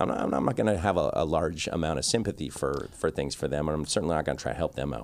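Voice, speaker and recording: Someone with a Canadian accent talks very fast, with vocal fry and ordinary pitch variation. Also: man. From Canada, Victoria. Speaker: podcast host, barber. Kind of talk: casual interview chat. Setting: on location at a trade show venue.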